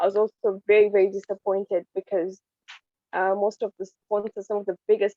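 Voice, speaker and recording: A woman's medium-pitched, monotone, flat delivery at a moderate pace, dry and close with no echo. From Kenya. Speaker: wildlife activist. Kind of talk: panel discussion.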